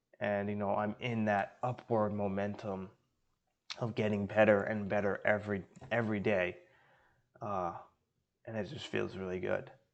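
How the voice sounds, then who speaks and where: Against a quiet background, a man speaks at a moderate pace and fairly low pitch, monotone and flat, with long, frequent pauses. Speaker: day trader. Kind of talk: trading recap monologue. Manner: hesitant, many fillers.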